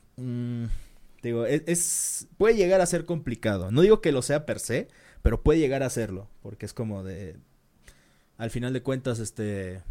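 On a very clean recording with a silent background, a man with a Mexican accent speaks at a fairly slow pace in a dark, mellow tone with lively intonation. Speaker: podcast co-host. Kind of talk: casual chat. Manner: halting, stumbles over words.

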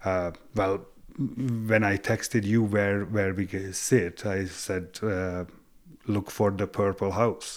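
Speaking at a very slow pace with a Hungarian accent, a man uses a fairly low pitch and fairly even intonation on a very clean recording with a silent background. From Hungary. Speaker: tile tradesman. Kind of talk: casual chat. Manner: halting.

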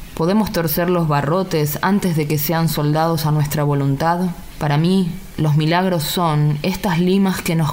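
A woman's very deep, low voice at a fairly slow pace, fairly even intonation and very even loudness, with audible room echo and noticeable background noise. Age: 30s. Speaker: poet and journalist. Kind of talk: poetry reading.

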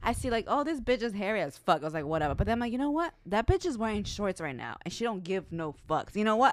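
Racing along at a very fast pace with hardly any pauses, a woman talks in a fairly high pitch marked by very wide pitch swings. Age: 30s. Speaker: podcast co-host. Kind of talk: casual chat.

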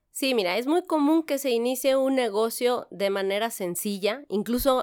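A woman with an unremarkable speaking voice talks at a moderate pace with ordinary pitch variation, on a very clean recording with a silent background. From Mexico, San Luis Potosí. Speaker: corporate lawyer. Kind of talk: podcast interview.

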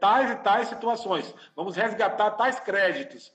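A man speaks at a high pitch with music playing behind him. The room echo is audible. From Brazil, Salvador (Bahia). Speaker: lawyer and engineering professor. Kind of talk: online presentation and interview. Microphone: connection cutting out.

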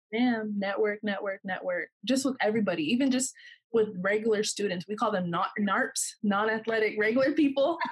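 A woman with a Californian accent speaks at a fairly quick pace and a fairly high pitch. Her voice is somewhat breathy, with ordinary pitch variation. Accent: General American (Californian). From Southern California. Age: 20s. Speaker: professional basketball player. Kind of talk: casual interview.

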